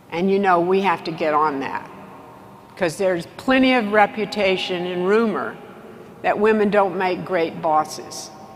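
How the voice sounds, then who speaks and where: With a Texas accent, the speaker talks at a moderate pace with ordinary pitch variation. Noticeable background noise and audible room echo fill the recording. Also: woman, medium pitch for a woman. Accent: Texas Southern US. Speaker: business executive and keynote speaker. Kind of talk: conference keynote speech. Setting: stage with large audience.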